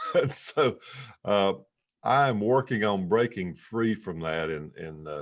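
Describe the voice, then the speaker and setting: With a North Carolina accent, this man talks at a fairly slow pace in a very deep, low pitch, his intonation lively. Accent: Southern US, North Carolina. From US South, western North Carolina mountains. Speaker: entrepreneur and author. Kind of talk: interview conversation. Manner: hesitant, many fillers.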